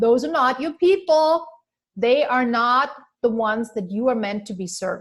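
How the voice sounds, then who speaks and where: A woman's fairly high voice with a non-native accent, lively intonation and a fairly slow pace. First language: not English. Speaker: business coach. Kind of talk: webinar training.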